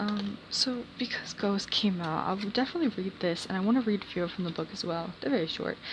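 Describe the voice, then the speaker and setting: Amid noticeable background noise, a woman speaks at a medium pitch with ordinary pitch variation. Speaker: tarot reader. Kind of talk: tarot reading. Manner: stuttering a little; casual, filler-heavy.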